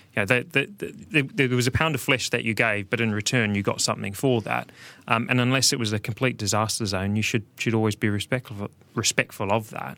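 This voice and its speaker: A man with a New Zealand accent at a fairly quick pace, medium pitch, fairly even intonation and a bright, sharp tone, on a very clean recording with a silent background. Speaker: business executive guest. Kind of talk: casual chat. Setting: studio.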